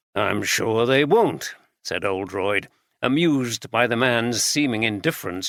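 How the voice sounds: The background stays quiet. What we hear is a natural reading voice.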